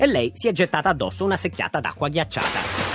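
A man is speaking. Music plays in the background. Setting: radio show.

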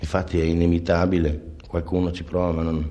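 A man's very deep, low, dark and mellow voice, somewhat breathy, at a moderate pace amid audible room echo. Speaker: jazz clarinettist. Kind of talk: interview. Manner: halting.

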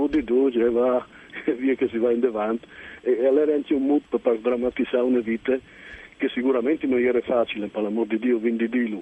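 With fairly even intonation, a man talks at a very fast pace. His pitch is medium. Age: 60s. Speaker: novelist. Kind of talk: radio interview.

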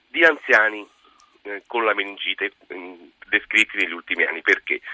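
A man talks with lively intonation. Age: 60s. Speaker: infectious disease specialist. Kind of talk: radio call-in Q&A.

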